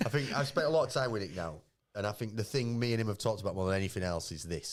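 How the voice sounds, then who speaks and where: This man speaks very fast in a Yorkshire accent. His pitch sits fairly low, and his intonation is lively. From northern England. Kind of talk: casual, conversational.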